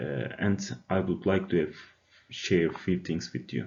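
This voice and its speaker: A man with a Turkish accent speaks at a moderate pace in a fairly low pitch. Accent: non-native, Turkish. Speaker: university student. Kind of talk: class presentation, personal testimony. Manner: hesitant, many filler uhs.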